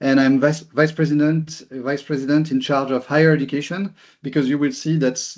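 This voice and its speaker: Against a quiet background, a man with a strong French accent and fairly high pitch speaks at a moderate pace. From France. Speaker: company executive. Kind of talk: webinar presentation. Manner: halting, repeats words.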